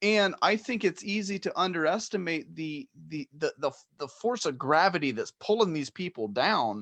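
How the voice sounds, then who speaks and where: Against a quiet background, a man with a high voice talks at a moderate pace with hardly any pauses and very wide pitch swings, sounding dry and close with no echo. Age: 30s. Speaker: podcast host. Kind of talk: casual chat. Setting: live stream.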